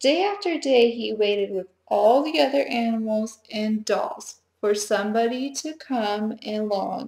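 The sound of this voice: Quiet background under an unforced reading voice with ordinary pitch variation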